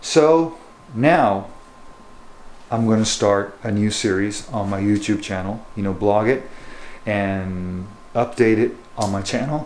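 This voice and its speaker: With audible room echo, a man talks at a very slow pace and fairly low pitch, leaving long, frequent pauses, his pitch varying in an ordinary way. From Japan and US; born in Japan, schooled in the US through high school. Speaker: bass fishing guide and lure maker. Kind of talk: casual vlog talk to camera. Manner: hesitant, many fillers like you know.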